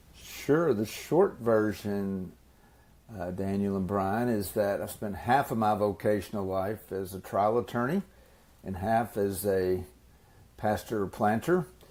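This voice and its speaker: Using an unremarkable speaking voice, a man talks at a fairly slow pace with a fairly low pitch and ordinary pitch variation. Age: 60s. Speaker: ministry leader and spiritual formation coach. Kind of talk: interview.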